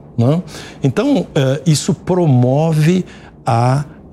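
Somewhat breathy, a man's voice has a dark, mellow tone. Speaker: business executive. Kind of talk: TV interview. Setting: studio. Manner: halting, many fillers.

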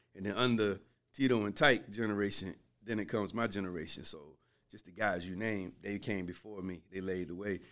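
A man's unremarkable speaking voice with an American accent, fairly low in pitch, at a fairly quick pace, fairly even in intonation, with big swings in loudness, on a very clean recording with a silent background. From Virginia Beach, US South. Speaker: film producer and author, former drug dealer. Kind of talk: casual interview storytelling.

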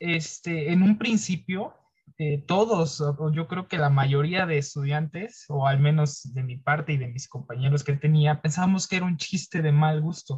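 At a fairly slow pace, a man speaks with fairly high pitch and ordinary pitch variation. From Mexico, outside Mexico City. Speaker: university student. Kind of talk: interview. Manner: halting.

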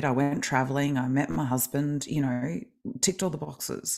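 Speaking at a moderate pace, a woman with an Australian accent has a very deep, low pitch. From Australia, Melbourne. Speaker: kinesiologist and life coach. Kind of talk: interview.

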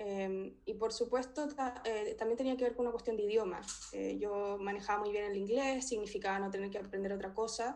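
With a Chilean accent, a woman speaks at a fairly high pitch and a fairly quick pace. Her intonation stays fairly even. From Chile, Talca. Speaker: philosophy doctoral researcher. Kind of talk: interview.

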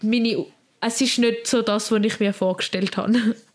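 Speaking with a Swiss German accent, a woman talks at a fairly slow pace with a fairly high pitch. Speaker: podcast co-host, apprentice. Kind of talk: casual chat. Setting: recording from home bedroom.

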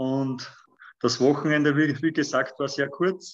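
A fairly slow pace with fairly even intonation. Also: man. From Lower Austria. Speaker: firefighter and triathlete. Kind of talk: interview. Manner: halting, with many fillers.

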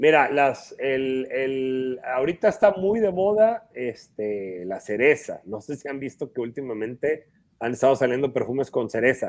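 A man with an ordinary speaking voice talks at a fairly slow pace in a medium pitch. His intonation is lively, his loudness swings widely, and he hardly pauses. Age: 40s. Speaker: perfume collector and expert. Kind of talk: casual interview.

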